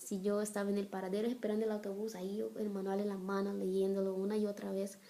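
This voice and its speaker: With a Brazilian accent, a woman speaks at medium pitch in a monotone, flat intonation. Noticeable background noise runs underneath. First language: Portuguese (speaking Spanish). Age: 30s. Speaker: missionary and blogger. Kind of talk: personal testimony vlog.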